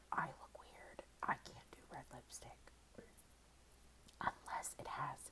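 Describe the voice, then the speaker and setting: A woman whispering at a very slow pace. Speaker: ASMR creator. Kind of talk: casual ASMR favorites ramble. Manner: whispered.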